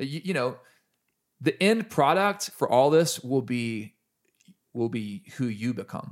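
Using a plain, everyday voice, a man talks at medium pitch and a moderate pace. The recording is very clean with a silent background. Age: 40s. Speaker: musician. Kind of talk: casual chat. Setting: dining room at home.

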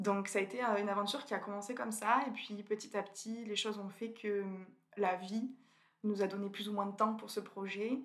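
This woman has an unremarkable speaking voice at a medium pitch. She talks at a moderate pace with fairly even intonation. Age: 20s. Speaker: food photographer. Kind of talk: interview.

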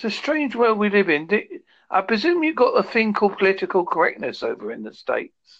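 The speaker has a British accent and talks at a fairly quick pace. The background is quiet. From United Kingdom. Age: 50s. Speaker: podcast interviewer.

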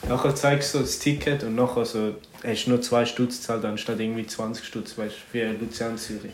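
A man speaks at medium pitch and a moderate pace, his intonation monotone and flat. There is audible room echo along with noticeable background noise. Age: 20s. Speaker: podcast co-host, student. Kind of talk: casual chat. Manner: laughing often.

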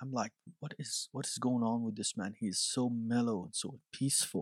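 A man with an Iranian accent speaks at a fairly slow pace and medium pitch. The sound is dry and close, with no echo. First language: Farsi. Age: 30s. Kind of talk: testimony.

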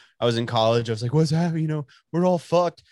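Set against a silent background in a very clean recording, a speaker with a Texan accent uses lively intonation, and the sound is dry and close with no echo. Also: man. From Texas, Dallas. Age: 20s. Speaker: podcast host. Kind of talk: casual chat.

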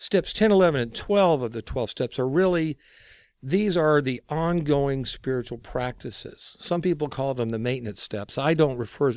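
Recorded very cleanly against a silent background, a man with an American accent has a normal speaking voice, medium pitch, lively intonation and a moderate pace. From Texas. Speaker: recovery ministry guest, recovering alcoholic. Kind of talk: interview on faith and twelve-step recovery.

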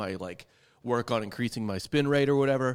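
A man in a normal speaking voice talks at a fairly quick pace with ordinary pitch variation, in a very clean recording with a silent background. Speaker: baseball podcast host. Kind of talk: casual sports talk.

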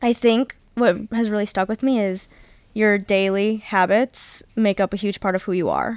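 A normal speaking voice comes at a moderate pace with fairly even intonation. The recording is very clean with a silent background and a dry, close sound with no echo. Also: woman, medium pitch for a woman. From Michigan. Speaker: college soccer player. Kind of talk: casual interview.

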